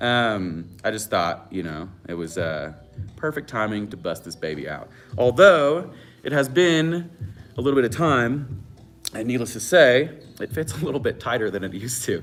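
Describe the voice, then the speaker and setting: With music in the background, a man of medium pitch talks at a moderate pace, his pitch swinging very widely and his loudness shifting greatly. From Northern California, wine country. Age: 20s. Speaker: chef and cooking channel host. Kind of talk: live-stream Q&A chat. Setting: live stream from home. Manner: casual, lots of fillers.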